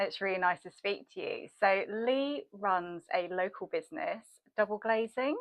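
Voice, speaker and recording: At a fairly slow pace, a woman with a fairly high pitch speaks in a normal speaking voice, her intonation lively. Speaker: content marketer and podcast host. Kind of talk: interview host.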